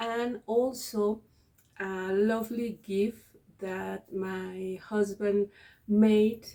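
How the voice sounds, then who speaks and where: Speaking very slowly in a Spanish accent, a woman keeps a monotone, flat intonation with a dark, mellow tone at medium pitch. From Mexico. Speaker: cross-stitch video creator and teacher. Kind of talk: casual vlog chat. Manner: halting, many fillers and repeats.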